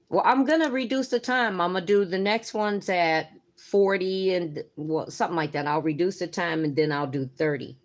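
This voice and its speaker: A plain, everyday voice from a woman at medium pitch, moderate pace and lively intonation, with hardly any pauses, over a quiet background. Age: 60s. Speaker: nail art youtuber. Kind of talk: live stream chat and tutorial. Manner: casual, chatty.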